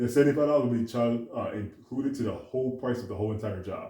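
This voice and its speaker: Talking at a very fast pace, a man with a medium pitch sounds somewhat breathy, his dark, mellow tone carried in a fairly even intonation. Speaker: detailing business owner. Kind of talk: tutorial.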